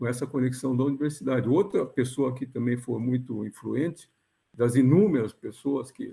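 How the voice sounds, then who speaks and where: The voice has a dark, mellow tone, somewhat breathy, with fairly even intonation at a moderate pace. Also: man. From southern Brazil, Rio Grande do Sul (São Borja, Porto Alegre). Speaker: physics professor. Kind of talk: interview. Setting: video call. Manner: halting.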